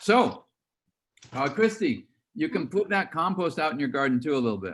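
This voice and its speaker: A man with vocal fry talks at a moderate pace, his fairly high voice making very wide pitch swings. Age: 70s. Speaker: walnut farmer. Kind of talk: virtual field day talk to students.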